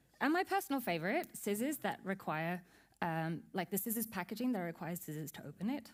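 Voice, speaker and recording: Speaking at a fairly quick pace, a woman with a medium pitch uses lively intonation. The recording is very clean, with a silent background. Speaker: UX designer, conference speaker. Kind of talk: conference talk. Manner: fast.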